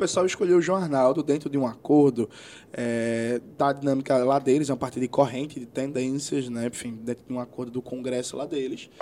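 Fairly quick and fairly even in intonation, a man's medium-pitched voice carries a dark, mellow tone. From Brazil, Pernambuco (Recife area). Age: 30s. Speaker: politician, history teacher. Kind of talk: interview.

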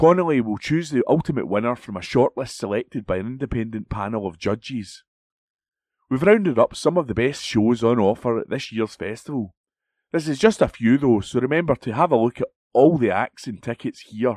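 A man with a plain, everyday voice at medium pitch and a fairly quick pace, recorded dry and close with no echo. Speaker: volunteer announcer and reader. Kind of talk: reading aloud. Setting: studio.

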